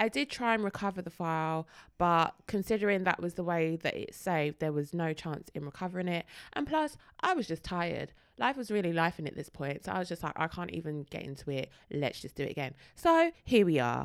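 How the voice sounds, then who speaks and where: A woman's animated, fairly low voice at a fairly quick pace with ordinary pitch variation. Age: 30s. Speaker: podcast co-host, teacher. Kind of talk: casual chat.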